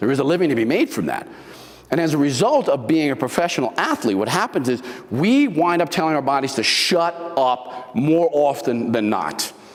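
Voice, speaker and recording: Lively intonation comes through at a moderate pace over noticeable background noise. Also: man, fairly high pitch for a man. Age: 70s. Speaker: motivational speaker, former bodybuilder. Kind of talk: motivational talk. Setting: live talk with audience. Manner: animated.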